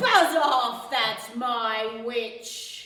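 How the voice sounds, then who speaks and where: A female-sounding put-on character voice, fairly high-pitched, shrill, croaky and growling, with a slight echo. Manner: threatening, dripping and squelching.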